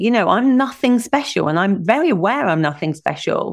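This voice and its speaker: On a very clean recording with a silent background, a woman with a southern English accent speaks with very wide pitch swings. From England. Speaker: business strategist. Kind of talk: interview.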